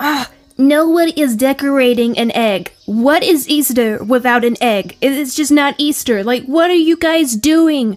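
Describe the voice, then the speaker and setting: Using a put-on character voice, a woman whines in a high pitch at a moderate pace, her loudness very even and her speech with hardly any pauses. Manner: exasperated, whiny.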